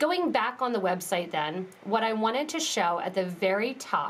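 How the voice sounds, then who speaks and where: Speaking at a moderate pace, a woman with a fairly high voice swings very widely in pitch, with audible room echo and noticeable background noise. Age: 30s. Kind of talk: live tutorial. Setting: live stream.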